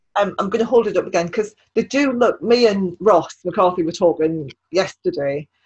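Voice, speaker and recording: A somewhat breathy voice at a moderate pace, with lively intonation and hardly any pauses. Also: woman, medium pitch for a woman. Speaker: podcast host. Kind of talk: casual interview chat.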